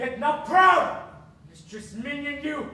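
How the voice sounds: A woman performs a put-on character voice at a high pitch with big swings and a bright, sharp tone. She speaks slowly amid strong room echo.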